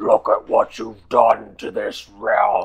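A man shouts in a raspy, put-on character voice. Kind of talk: fantasy villain acting. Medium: actual play. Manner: raging, accusing, screaming.

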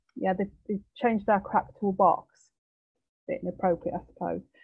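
Over a quiet background with a dry sound and no echo, a woman with a Yorkshire accent speaks at a fairly quick pace with fairly even intonation. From East Yorkshire, England. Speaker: nurse and psychosexual therapist. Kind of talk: webinar presentation. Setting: video call. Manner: says um a lot. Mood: warm, informal, slightly joking. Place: home room. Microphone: video call.

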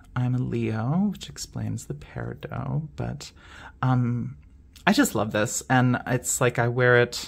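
The speaker sounds shaky and talks at a fairly slow pace on a very clean recording with a silent background. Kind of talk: show-and-tell video monologue. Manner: hesitant, many fillers; shaky voice from excitement.

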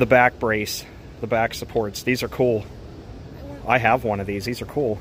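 A man speaks with an American accent and ordinary pitch variation. Light background noise can be heard. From Texas. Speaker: retail store vlogger; store walkthrough vlogger. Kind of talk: casual walkthrough vlog narration. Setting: outdoors and inside a closing store. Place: shop. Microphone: phone near.

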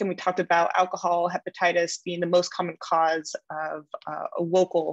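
Against a quiet background, a woman talks fairly quickly in a fairly low pitch, the sound dry with no echo. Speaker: medical trainee giving teaching points. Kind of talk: teaching summary. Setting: video call. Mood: warm, grateful at close. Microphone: video call.

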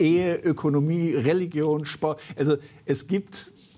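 A man's fairly high-pitched voice with a dark, mellow tone, fairly slow pace and fairly even intonation

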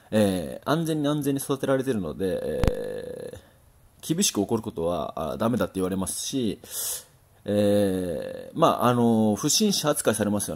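A man speaks at a moderate pace, and the recording is very clean with a silent background. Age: 30s. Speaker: boxing trainer, former champion boxer. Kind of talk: solo talk monologue. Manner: hesitant, many fillers.

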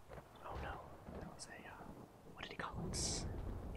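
A man whispers while noticeable background noise continues around him. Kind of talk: whispered character dialogue reading. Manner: whispered, soft.

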